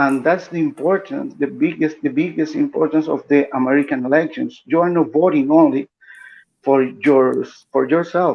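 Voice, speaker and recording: This man has a fairly high pitch and speaks with a Spanish accent. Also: ordinary pitch variation, moderate pace. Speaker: political commentator. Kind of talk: live stream panel discussion. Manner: halting, repeats words.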